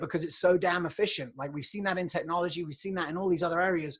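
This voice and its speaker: A man's high voice with a British accent against a quiet background. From England. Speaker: podcast host, health economist. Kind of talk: solo livestream monologue. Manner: conversational, filler-heavy.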